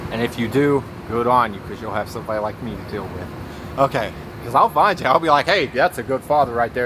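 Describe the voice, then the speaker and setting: Amid noticeable background noise, a man talks fairly quickly at a medium pitch, with ordinary pitch variation and big swings in loudness. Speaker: vlogger. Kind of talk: casual monologue. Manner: fast; halting.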